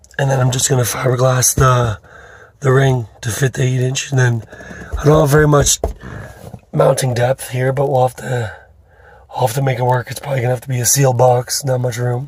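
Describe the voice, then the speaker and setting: Noticeable background noise surrounds a man who talks fairly quickly at a medium pitch in a flat monotone, with long, frequent pauses. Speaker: car audio DIY hobbyist. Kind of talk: tutorial. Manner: casual, informal.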